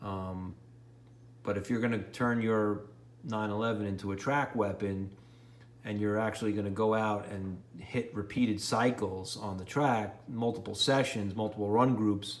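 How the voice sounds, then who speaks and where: In a New York accent, a man speaks at a moderate pace and fairly low pitch with fairly even intonation. The room echo is audible. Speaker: car enthusiast YouTuber. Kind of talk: DIY car repair tutorial. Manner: rambling, casual.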